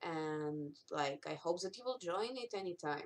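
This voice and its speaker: At a fairly slow pace, a woman with a non-native accent talks in a fairly low pitch. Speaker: cosplayer. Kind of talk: live stream Q&A. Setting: live stream. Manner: halting.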